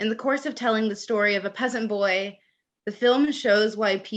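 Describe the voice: Over a quiet background, the passage is plain reading aloud.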